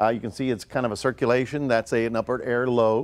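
A man talks at a fast pace in a medium pitch, his intonation fairly even.

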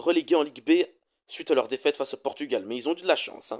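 A man speaks with ordinary pitch variation and a slightly mellow tone.

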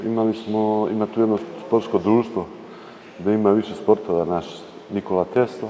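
A man's fairly low voice with fairly even intonation, long and frequent pauses, and light background noise. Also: moderate pace. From Serbia, Čačak; Serbia. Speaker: Orthodox priest. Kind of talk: interview. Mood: relaxed, smiling. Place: church.

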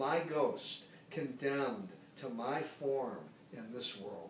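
The speech moves at a very slow pace, with audible room echo and light background noise. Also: man. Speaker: poetry reader. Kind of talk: poetry reading. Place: home room. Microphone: camera far.

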